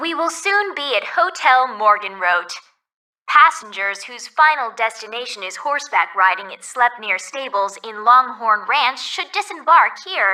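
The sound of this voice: A woman uses a put-on character voice at a fairly high pitch. She speaks fairly slowly with a bright, sharp tone and lively intonation.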